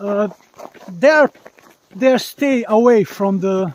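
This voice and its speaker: Over a dry, close sound with no echo, a man talks at a very slow pace in a high pitch. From Bosnia. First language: Bosnian (Slavic). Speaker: live streamer. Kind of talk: live stream commentary on nature walk. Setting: outdoors in forest, mobile stream. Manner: halting, with fillers.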